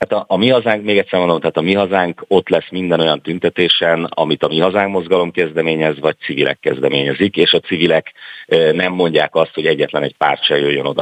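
Speaking at a very fast pace with hardly any pauses, a man keeps his loudness very even, his very deep, low pitch moving with ordinary variation. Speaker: politician. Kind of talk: radio interview.

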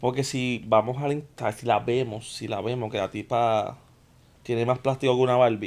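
Flat and monotone, a man's medium-pitched voice moves at a moderate pace. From Puerto Rico, Guaynabo. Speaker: podcast co-host. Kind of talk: casual chat.

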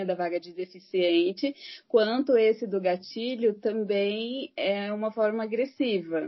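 Here a woman speaks at a very slow pace. Her pitch is medium, with ordinary variation. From Brazil, Santo André, São Paulo. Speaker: psychologist. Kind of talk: casual interview chat.

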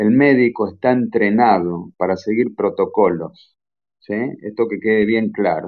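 A man speaks at a fairly slow pace with medium pitch. He has an unremarkable speaking voice with ordinary pitch variation. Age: 40s. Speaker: medical doctor, geneticist. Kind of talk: lecture-style talk in a live audio chat room. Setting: online audio chat room.

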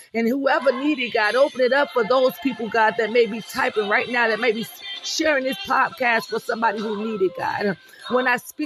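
Music plays in the background as a man talks at a fairly quick pace. His pitch is extremely high, with ordinary variation. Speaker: prayer podcast host. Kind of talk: fervent prayer, pleading aloud to God with punctuating 'Hallelujah' and 'Father God'; devotional sermon-like encouragement. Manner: impassioned, rhythmic, repetitive, with emphatic praise-shouts.

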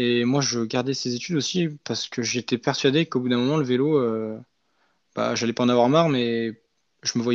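A man's medium-pitched voice rushes along at a very fast pace with fairly even intonation. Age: 20s. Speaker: former elite cyclist and coaching trainee. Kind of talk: casual interview. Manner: hesitant, many fillers.

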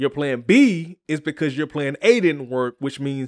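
Animated and fairly high-pitched, a man talks at a moderate pace with ordinary pitch variation. The sound is dry and close with no echo, on a very clean recording with a silent background. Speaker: self-help podcaster. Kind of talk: pep talk. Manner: animated, preacher-like motivational cadence; rhythmic, emphatic, exhortational.

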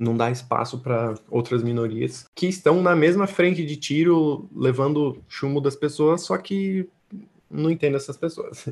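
An unremarkable speaking voice from a man, fairly high in pitch, with ordinary pitch variation and a fairly slow pace. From São Paulo state, Brazil. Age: 20s. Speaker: artist and slam poet. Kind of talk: casual interview chat.

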